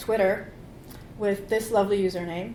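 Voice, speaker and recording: Fairly high female speech at a moderate pace, amid audible room echo. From Poland. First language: Polish. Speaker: conference keynote speaker. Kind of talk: conference keynote talk. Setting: stage with audience.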